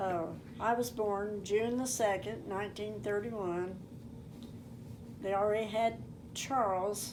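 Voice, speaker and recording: In an American accent, a woman talks at a fairly slow pace with long, frequent pauses. Her pitch is medium, and room echo is audible. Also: ordinary pitch variation. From southeast Kansas. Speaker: elderly family member telling life story. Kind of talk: oral history interview. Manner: halting.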